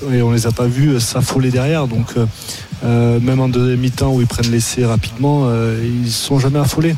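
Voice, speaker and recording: The speaker keeps a fairly even intonation. Noticeable background noise and audible room echo fill the recording. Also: man. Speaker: former rugby player, pundit. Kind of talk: casual radio analysis. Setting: stadium broadcast.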